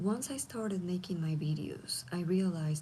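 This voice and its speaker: The voice is quiet and moves at a moderate pace. Noticeable background noise is present. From Latin America. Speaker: content creator. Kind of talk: casual livestream talk. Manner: quiet, low volume.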